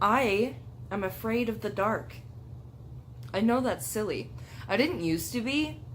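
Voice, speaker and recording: Audible room echo carries a woman's voice as she speaks at a fairly slow pace with long, frequent pauses. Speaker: YouTuber. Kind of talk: casual chat. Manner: animated.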